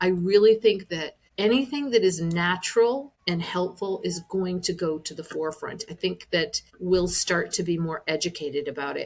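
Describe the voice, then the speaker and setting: A woman's plain, everyday voice at medium pitch, moderate in pace with hardly any pauses and ordinary pitch variation. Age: 60s. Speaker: wellness business owner. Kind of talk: podcast interview answer.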